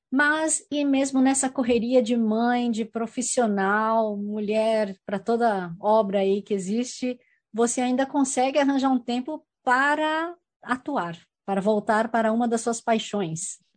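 Against a quiet background, a woman speaks fairly slowly in a plain, everyday voice, her pitch fairly high with ordinary variation. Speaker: community radio host and actress. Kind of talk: interview.

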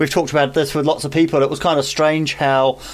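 A man speaks with a New Zealand accent. His voice is fairly high, with fairly even intonation. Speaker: community radio host. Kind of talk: casual interview.

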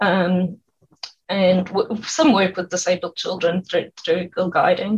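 A woman's somewhat breathy voice at medium pitch, very slow pace, fairly even intonation. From South Africa. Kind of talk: radio interview.

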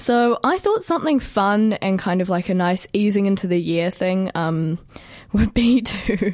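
A woman talks at a fairly slow pace with a New Zealand accent, her pitch medium and its variation ordinary. Her loudness stays very even throughout. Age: 20s. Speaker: student radio host. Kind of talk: casual radio music show. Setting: radio studio. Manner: animated.

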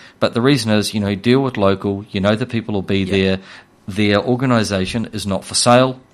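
A man with a New Zealand accent talks very fast in a fairly low pitch, his intonation fairly even against a quiet background. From New Zealand, Hawke's Bay. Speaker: financial firm CEO. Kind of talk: casual interview about finance. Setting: radio studio.

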